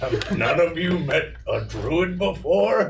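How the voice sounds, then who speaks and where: Putting on a character voice, a man talks at a fairly slow pace with fairly high pitch over clear background noise. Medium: actual play. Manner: condescending, teasing.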